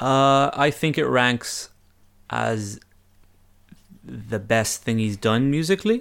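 On a very clean recording with a silent background, a man speaks at a very slow pace with long, frequent pauses. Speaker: podcast host. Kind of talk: casual chat.

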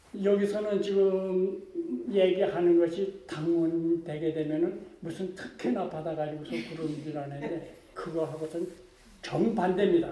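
Noticeable background noise sits under the speech. The pace is fairly slow, and the intonation fairly even. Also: man, high pitch for a man. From North Pyongan, North Korea. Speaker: former political prisoner. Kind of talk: testimony.

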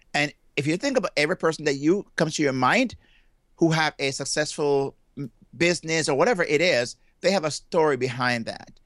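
Against a quiet background, a man with a Jamaican accent speaks fairly quickly. His pitch is fairly high, with ordinary variation. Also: dry, close sound with no echo. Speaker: motivational speaker and family therapist. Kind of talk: interview. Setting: remote call.

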